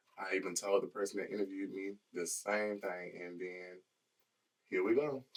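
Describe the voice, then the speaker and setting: Quietly and at a moderate pace, a man with a fairly low voice speaks with fairly even intonation. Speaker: podcast co-host. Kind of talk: casual chat.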